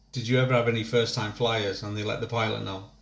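A man talks at medium pitch. His voice is somewhat breathy. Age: 30s. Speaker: podcast host and army veteran. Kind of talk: casual chat.

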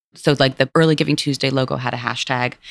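In a New York accent, a woman talks with vocal fry in a dry, close sound with no echo. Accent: New York American. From New York City, Lower East Side. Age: 40s. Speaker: nonprofit CEO. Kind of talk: interview. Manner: casual, filler-heavy.

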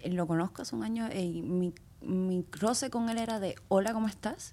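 The tone is dark and mellow, with ordinary pitch variation. Its pace is moderate. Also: woman, medium pitch for a woman. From Cuba. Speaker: dancer. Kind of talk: interview conversation.

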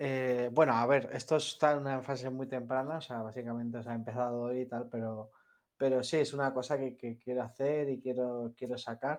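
A man speaks with a Spanish accent at a fairly quick pace. His medium-pitched voice stays flat and monotone. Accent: Spanish (Spain). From Spain. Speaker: software developer. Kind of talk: interview. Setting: online audio space.

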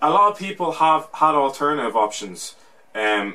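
With an Irish accent, this man's fairly high voice has a bright, sharp tone and very wide pitch swings. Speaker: podcast host. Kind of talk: casual banter.

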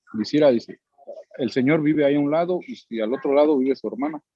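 A man speaks with a Mexican accent. His voice is fairly high and his pace fairly quick. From Mexico. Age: 30s. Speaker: immigrant worker. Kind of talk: interview. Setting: at work.

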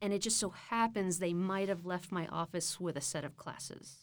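Speaking with an American accent at a moderate pace, a woman's medium-pitched voice comes through a very clean recording with a silent background. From Texas, Austin area. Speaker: university academic advisor. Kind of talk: casual interview. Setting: studio.

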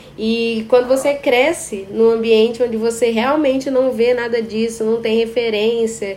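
Noticeable background noise sits behind a woman's fairly high voice. She speaks at a moderate pace with ordinary pitch variation. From Brazil, Espírito Santo. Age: 20s. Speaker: podcast host and psychology student. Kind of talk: casual interview chat.

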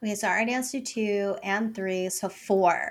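A woman talks at a moderate pace with a medium pitch and ordinary pitch variation. It is a normal speaking voice on a very clean recording with a silent background. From US Northeast, Puerto Rican family. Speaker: podcast host. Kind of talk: casual interview chat.

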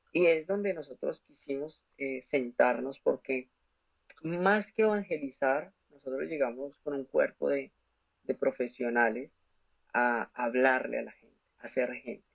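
An ordinary speaking voice at a fairly slow pace, with lively intonation and big swings in loudness. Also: man, fairly high pitch for a man. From Colombia, Bogotá. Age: 20s. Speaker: commercial pilot and motivational speaker. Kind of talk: testimony.

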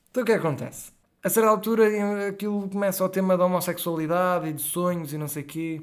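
In a very clean recording with a silent background, a man talks at a very fast pace and a high pitch, with ordinary pitch variation. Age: 20s. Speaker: podcast guest. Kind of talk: casual chat.

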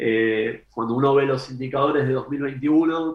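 Flat, monotone delivery from a man, pitched in the middle range. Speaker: economist. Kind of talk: interview. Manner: measured, formal.

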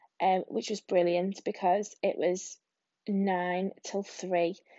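With an English accent, a woman talks fairly slowly. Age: 30s. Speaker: podcaster, single mum and primary school teacher. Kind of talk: casual solo monologue. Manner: rambling with many hesitations.

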